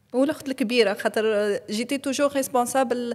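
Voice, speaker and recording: A woman speaks with a high pitch and fairly even intonation. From Tunisia, Kasserine. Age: 40s. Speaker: podcast guest. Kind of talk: interview conversation.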